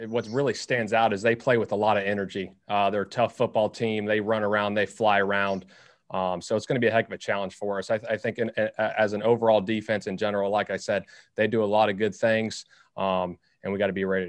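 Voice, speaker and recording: Monotone and flat, a man speaks at a very fast pace in a fairly low pitch. The sound is dry with no echo, against a quiet background. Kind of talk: press conference interview answer. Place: meeting room. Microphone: podium.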